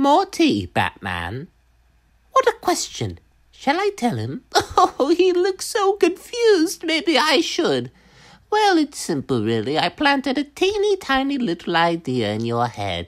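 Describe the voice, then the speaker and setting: A put-on character voice from a man, extremely high in pitch, at a fairly slow pace. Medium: voice reel. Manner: gleeful, taunting.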